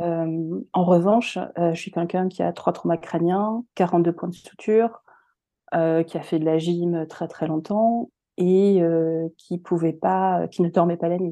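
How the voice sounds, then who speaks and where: A woman speaks very slowly in a fairly low voice, her tone dark and mellow and her intonation fairly even. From France and North America. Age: 40s. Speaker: speech therapist. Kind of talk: interview. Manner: halting.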